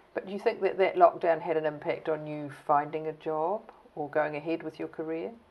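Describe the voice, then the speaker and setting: The speech moves at a fairly quick pace with ordinary pitch variation and big swings in loudness. Noticeable background noise runs underneath. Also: woman, very deep, low pitch for a woman. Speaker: oral history interviewer. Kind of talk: interview.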